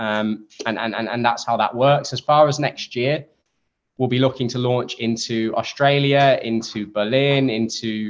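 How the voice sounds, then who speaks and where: A man with an English accent, medium pitch, fairly slow pace and fairly even intonation. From England. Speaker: startup co-founder. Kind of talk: interview. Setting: podcast.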